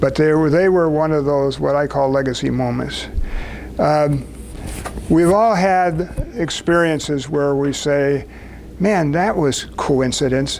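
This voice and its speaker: A man's fairly high voice in an American accent, fairly slow with ordinary pitch variation and very even loudness, with audible room echo and noticeable background noise. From US Midwest (southern Wisconsin). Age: 80s+. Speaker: speaker at a business networking event. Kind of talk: personal talk to a small group.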